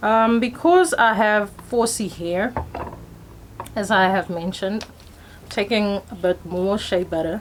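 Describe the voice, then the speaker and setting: Speaking at a very slow pace in a medium pitch, a woman with a South African accent is heard over noticeable background noise. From South Africa, Pretoria. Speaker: hair vlogger. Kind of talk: tutorial. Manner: casual, chatty.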